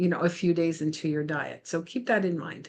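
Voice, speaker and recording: An ordinary speaking voice from a woman, fairly low in pitch with fairly even intonation, against a quiet background. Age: 60s. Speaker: health coach vlogger. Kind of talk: casual vlog talk. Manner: conversational with many fillers.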